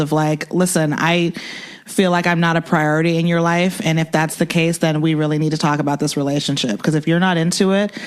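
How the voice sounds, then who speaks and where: A woman speaks fairly quickly at a fairly low pitch over noticeable background noise. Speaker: podcast co-host. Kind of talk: casual chat. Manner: soft-spoken.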